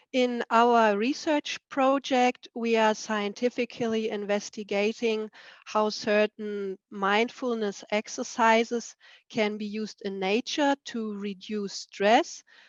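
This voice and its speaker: A woman with a German accent speaks at a very slow pace, her fairly high voice holding a fairly even intonation. The sound is dry and close with no echo, over a quiet background. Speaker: researcher. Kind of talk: presentation.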